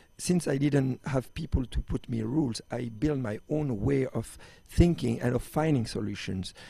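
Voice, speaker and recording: A man speaks with a French accent at a moderate pace, his medium-pitched voice somewhat breathy, dark and mellow in tone, with ordinary pitch variation. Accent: French, can't lose it. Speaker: extreme sports athlete and entrepreneur. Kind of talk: interview. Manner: halting, many fillers and restarts.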